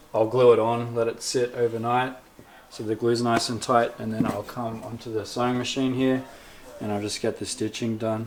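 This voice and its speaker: A man's relaxed, flat, monotone delivery at a moderate pace, with noticeable background noise behind it. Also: medium pitch for a man. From South-West Sydney, Australia. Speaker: skateboarding vlogger and tattoo artist. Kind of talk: interview answer. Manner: casual, relaxed.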